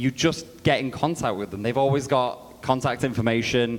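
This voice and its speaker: A man speaks at a moderate pace with a British accent. His pitch is medium, with ordinary pitch variation. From Britain. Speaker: game publisher representative. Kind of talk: conference panel talk.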